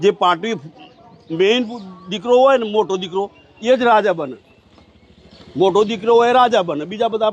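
A man speaks at a high pitch with ordinary pitch variation. Noticeable background noise runs behind him. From Gujarat, India (village near Idar). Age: 60s. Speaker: village elder, former soldier. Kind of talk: interview about local history. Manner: halting.

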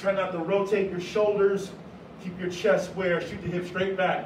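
Amid light background noise and audible room echo, a man with a high pitch talks at a moderate pace. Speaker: fitness instructor. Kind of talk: workout instruction. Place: gym. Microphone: camera far.

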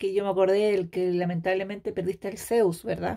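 Speaking at a fairly quick pace, a woman with a Chilean accent has an animated tone. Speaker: beauty product sales consultant and YouTuber. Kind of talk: casual chat.

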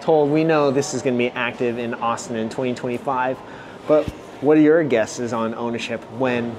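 A man speaks at a fairly slow pace with fairly even intonation. Noticeable background noise runs under his voice. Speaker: vlogger. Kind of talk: casual vlog commentary. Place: shop. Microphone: phone near.

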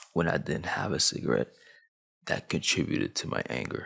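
The man speaks at a moderate pace against a quiet background. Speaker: YouTube commentator. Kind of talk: casual, street slang. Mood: earnest, reflective. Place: home room. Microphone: studio mic.

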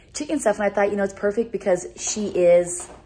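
A woman speaks at a moderate pace with lively intonation and a somewhat breathy, dark, mellow tone. Light background noise sits behind her. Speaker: vlogger. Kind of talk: casual vlog chat. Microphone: phone near.

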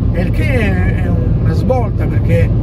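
A man's dry, echo-free voice against loud background noise. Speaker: van owner vlogger. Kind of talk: casual vlog chat. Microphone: phone near.

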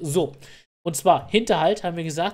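A man talks at a fairly quick pace in a somewhat breathy voice, with ordinary pitch variation. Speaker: gaming YouTuber. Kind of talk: tutorial. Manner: fast.

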